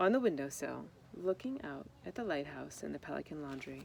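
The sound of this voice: A woman with a low pitch and vocal fry talks at a fairly quick pace with lively intonation.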